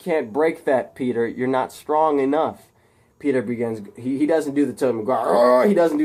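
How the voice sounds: Read in a natural manner, the text has pitch that varies a normal amount.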